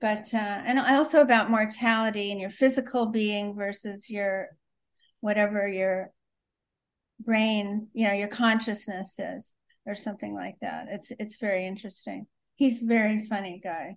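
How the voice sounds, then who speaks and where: Fairly high in pitch, a woman speaks at a moderate pace with fairly even intonation. Her loudness swings widely against a quiet background. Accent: Californian. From Los Angeles (San Fernando Valley). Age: 70s. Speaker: crime writer. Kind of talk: interview conversation.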